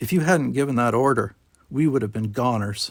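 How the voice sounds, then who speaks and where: Using a put-on character voice, a man speaks at medium pitch with ordinary pitch variation. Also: fairly quick pace. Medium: read story. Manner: blunt, hearty.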